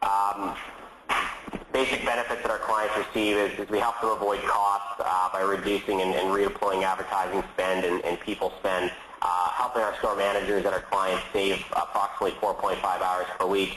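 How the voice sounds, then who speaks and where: A man's fairly low, monotone voice with flat intonation and very even loudness, over noticeable background noise. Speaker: company founder presenting a webinar. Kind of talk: webinar presentation. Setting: online webinar. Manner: fast; hesitant, many fillers and repeats.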